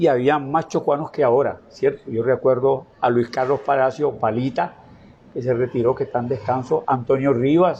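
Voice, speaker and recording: A man's somewhat breathy, dark and mellow voice comes at a medium pitch and a moderate pace. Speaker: veteran merchant. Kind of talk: interview. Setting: his home.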